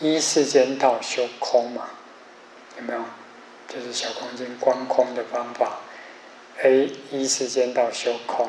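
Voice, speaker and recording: Amid noticeable background noise, a man speaks very slowly in a monotone, flat intonation with long, frequent pauses. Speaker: Buddhist teacher giving a lecture. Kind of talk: lecture. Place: classroom.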